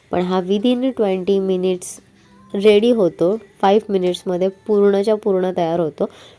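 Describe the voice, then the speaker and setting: Woman with a medium pitch and fairly even intonation, music in the background. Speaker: home cook. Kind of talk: cooking tutorial narration. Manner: warm, friendly.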